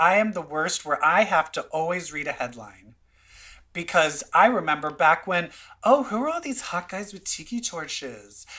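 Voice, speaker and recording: In a Minnesotan accent, a man speaks with a high pitch and a bright, sharp tone. His intonation is lively, and his loudness swings widely. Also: moderate pace. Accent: Minnesota. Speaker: podcast host. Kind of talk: casual chat.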